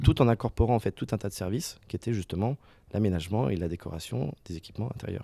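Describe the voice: A man talks fast at a fairly low pitch with lively intonation. His tone is dark and mellow, with vocal fry and a slightly husky edge.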